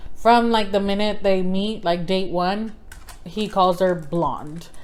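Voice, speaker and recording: The speech comes at a very slow pace with fairly even intonation and audible room echo. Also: woman, medium pitch for a woman. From South Texas. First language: Spanish. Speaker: book vlogger. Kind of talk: casual book review vlog. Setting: indoors by the fire. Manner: casual, filler-heavy.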